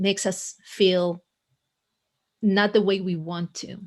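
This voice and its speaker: A woman speaks in an Israeli accent at a medium pitch. The recording is very clean, with a silent background. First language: Hebrew. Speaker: coach and author. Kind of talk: podcast interview. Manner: halting, frequent word repetitions.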